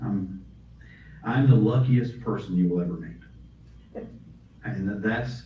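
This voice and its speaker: Speaking with an American accent, the voice has lively intonation at a fairly slow pace with long, frequent pauses, plus noticeable background noise and audible room echo. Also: man, fairly low pitch for a man. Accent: mild Southern accent, varies with setting. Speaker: author and audiobook narrator. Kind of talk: author talk Q&A. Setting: library talk with audience.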